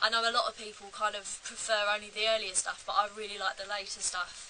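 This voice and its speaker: Over noticeable background noise, a woman with an English accent speaks at a moderate pace in a fairly high pitch. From England. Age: 18. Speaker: musician and video creator. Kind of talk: casual Q&A vlog. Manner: casual, hesitant with fillers.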